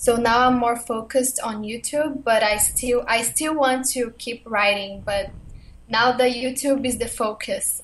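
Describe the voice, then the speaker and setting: A woman speaks in a Portuguese accent at a fairly slow pace. Her voice is high and her intonation fairly even. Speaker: blogger and YouTuber. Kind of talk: interview.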